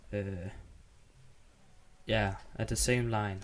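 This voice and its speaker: In a Danish accent, a man talks at a very slow pace. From Denmark. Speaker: gaming YouTuber. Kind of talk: gameplay tutorial. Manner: halting, many fillers.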